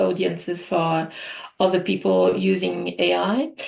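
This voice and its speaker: A woman with a French accent, at a very slow pace. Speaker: AI artist and trainer. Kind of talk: presentation. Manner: hesitant, many fillers.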